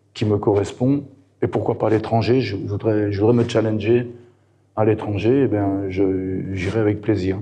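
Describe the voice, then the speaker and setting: A man's fairly low voice, dark and mellow in tone, monotone and flat in intonation, with audible room echo. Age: 60s. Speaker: football coach and former player. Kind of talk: interview. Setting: event. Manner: hesitant, many fillers.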